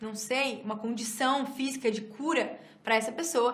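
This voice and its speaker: A woman's high-pitched voice amid noticeable background noise and audible room echo. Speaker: church teacher. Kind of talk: lecture; prayer ministry. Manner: fast.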